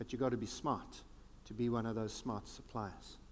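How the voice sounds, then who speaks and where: A fairly slow pace in a South African accent. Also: man. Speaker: futurist keynote speaker. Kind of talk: keynote speech. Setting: conference stage with audience. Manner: animated.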